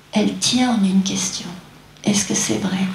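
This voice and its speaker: Heard through audible room echo and noticeable background noise, a woman speaks with ordinary pitch variation. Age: 60s. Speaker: doctor and qigong teacher. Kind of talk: lecture. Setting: stage with audience.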